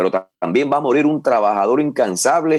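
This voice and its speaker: Dry, close, echo-free sound from a man speaking at medium speed. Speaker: wrestling commentator. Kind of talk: interview answer.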